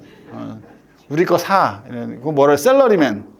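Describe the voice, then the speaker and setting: Audible room echo surrounds a man who talks at a moderate pace with very wide pitch swings. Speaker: lecturer on spine fractures. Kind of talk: lecture. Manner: casual, animated.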